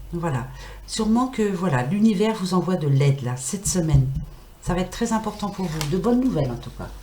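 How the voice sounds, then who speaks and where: A woman with a fairly low pitch speaks at a moderate pace and with lively intonation. Noticeable background noise and audible room echo surround her. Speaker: tarot card reader. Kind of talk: weekly tarot reading livestream. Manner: animated.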